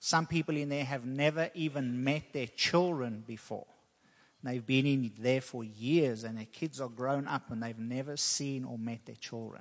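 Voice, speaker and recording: An ordinary speaking voice goes at a moderate pace with ordinary pitch variation and big swings in loudness. The background is quiet. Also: man, medium pitch for a man. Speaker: preacher. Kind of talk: sermon. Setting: church.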